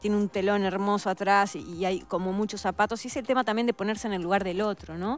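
A woman with a Uruguayan accent talks at medium pitch at a very fast pace, with fairly even intonation and hardly any pauses, while music plays in the background. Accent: Uruguayan Rioplatense Spanish. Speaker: actress. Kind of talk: casual interview chat.

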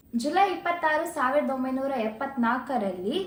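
A woman speaks in a high pitch with lively intonation. Room echo is audible. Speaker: vlogger. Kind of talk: vlog narration.

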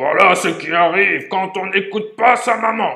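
A put-on character voice shouts with a growl at a middle pitch. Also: moderate pace. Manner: shouting, scolding.

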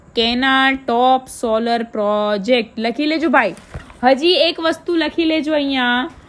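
A woman speaks with a high pitch that varies in an ordinary way. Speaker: exam-prep YouTuber. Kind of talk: tutorial. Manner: repetitive, stumbling over words.

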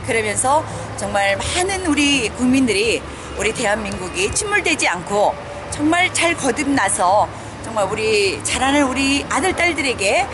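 A woman's high voice swings very widely in pitch at a moderate pace. Noticeable background noise is present. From South Korea. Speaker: political rally organizer; MC. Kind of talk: interview. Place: street. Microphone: phone near.

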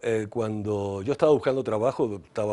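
A man at a fairly low pitch with ordinary pitch variation and a moderate pace, over a quiet background. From Venezuela. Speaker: advertising executive. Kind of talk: interview. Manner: halting. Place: studio. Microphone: lapel.

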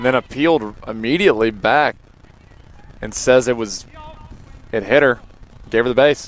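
Noticeable background noise sits behind a man speaking at a moderate pace with long, frequent pauses. His voice is medium-pitched with ordinary pitch variation. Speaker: color commentator. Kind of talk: live sports commentary, analyst remarks. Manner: conversational, reactive, and explanatory.

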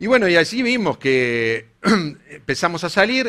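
A man's bright, sharp tone with a Uruguayan accent. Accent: Uruguayan Spanish (rioplatense). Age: 40s. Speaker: engineer and company co-founder; conference speaker. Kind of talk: conference talk. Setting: stage with audience. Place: hall. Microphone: headset.

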